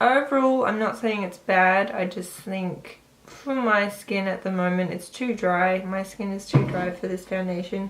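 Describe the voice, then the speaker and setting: Against noticeable background noise, a woman with a medium-pitched voice talks at a fairly slow pace with hardly any pauses and ordinary pitch variation. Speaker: beauty vlogger. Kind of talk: product review. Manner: casual.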